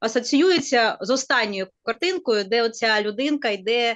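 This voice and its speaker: A woman with a Ukrainian accent, fairly high pitch and lively intonation. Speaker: university teacher. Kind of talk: webinar discussion. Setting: online webinar video call. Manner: hesitant with fillers.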